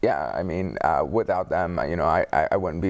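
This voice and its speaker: This man's voice is very deep and low, with vocal fry. He talks at a fairly quick pace. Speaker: motivational speaker, car crash survivor. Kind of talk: interview testimony. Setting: studio with live audience. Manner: halting, with word-finding difficulty.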